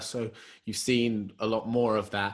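A man in an ordinary speaking voice at medium pitch, with fairly even intonation. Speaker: podcast host. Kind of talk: casual chat. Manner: joking, relaxed.

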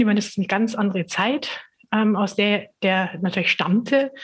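At a fairly quick clip, a somewhat breathy voice speaks with fairly even intonation. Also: woman. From Upper Bavaria, Germany. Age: 50s. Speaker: communications consultant. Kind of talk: interview. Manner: hesitant, many fillers.

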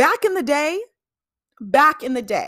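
A woman projects a raised voice with an animated, bright, sharp tone and very wide pitch swings, in a very clean recording with a silent background. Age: 20s. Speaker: podcast host. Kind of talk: casual chat.

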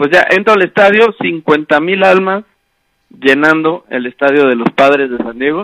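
Fairly slow speech from a man, fairly high in pitch, with lively intonation, a bright, sharp tone and a dry, close sound with no echo. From Mexico. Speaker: sports podcast co-host. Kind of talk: casual chat. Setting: remote call.

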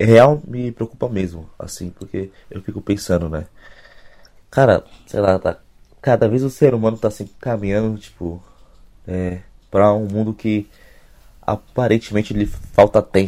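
With a dark, mellow tone and a fairly low pitch, a man speaks at a fairly slow pace, leaving long, frequent pauses, with ordinary pitch variation and big swings in loudness. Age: young. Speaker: podcast co-host. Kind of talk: casual chat.

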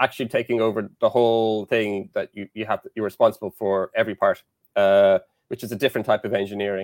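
A man with an Irish accent speaks very fast in a monotone, flat delivery. The recording is very clean with a silent background. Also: fairly low pitch for a man, dry, close sound with no echo. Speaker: engineering lecturer. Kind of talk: casual interview.

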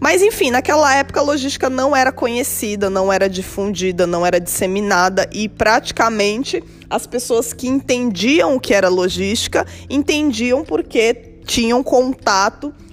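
Music plays in the background as a woman talks at a moderate pace. Her fairly high voice has lively intonation. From São Paulo, Brazil. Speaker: podcast host, logistics professional. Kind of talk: solo podcast monologue.

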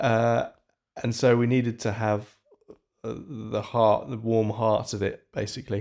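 At a very slow pace, a man speaks with a dark, mellow tone and monotone, flat intonation. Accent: northern English. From northern England. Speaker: composer. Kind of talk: interview.

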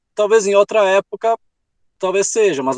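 With a high pitch, a man is heard in a dry, close recording that has no echo. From Rio Grande do Sul, Brazil. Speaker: travel author. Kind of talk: interview.

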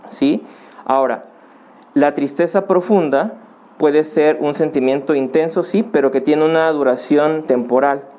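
A man speaks at a fairly slow pace with a fairly high pitch. His tone is dark and mellow, and his loudness stays very even. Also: ordinary pitch variation. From Mexico, Acapulco (Guerrero). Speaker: psychologist and family counselor. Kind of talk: podcast interview. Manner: halting, frequent fillers.

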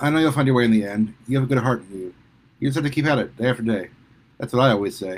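This is an unforced reading voice. The clip is delivered in it throughout.

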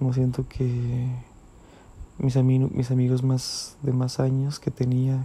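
The man speaks with flat, monotone intonation. His voice rests at a medium pitch. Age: 20s. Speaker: podcaster. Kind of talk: personal monologue. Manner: halting, many repetitions.

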